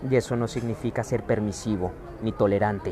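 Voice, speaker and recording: A man with a Mexican accent and a fairly low pitch, with crowd noise in the background. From Mexico. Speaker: spiritual wellness speaker. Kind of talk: livestream talk. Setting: airport.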